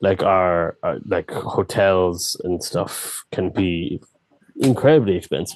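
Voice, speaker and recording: At a very slow pace, a man talks with a dry, close sound and no echo. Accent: western Irish. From Ireland, County Clare. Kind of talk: interview conversation.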